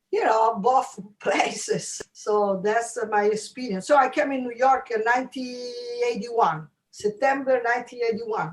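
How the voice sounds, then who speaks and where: Speaking at a moderate pace, a woman with an Italian accent has a high-pitched voice. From Italy, Rome. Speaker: jazz pianist. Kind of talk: interview. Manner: halting.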